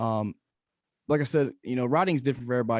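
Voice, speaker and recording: Dry, close sound with no echo, a man with a Tennessee accent and ordinary pitch variation. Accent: Southern US (Tennessee). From East Tennessee. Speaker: country singer-songwriter. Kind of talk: interview. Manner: halting, many repetitions.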